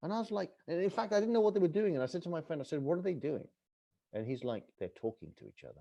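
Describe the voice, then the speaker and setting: Speaking with an English accent at a very fast pace, a man has a high pitch and a dark, mellow tone. His pitch swings very widely and his loudness shifts in big swings. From England. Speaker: author and travel TV host. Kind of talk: podcast interview. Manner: animated.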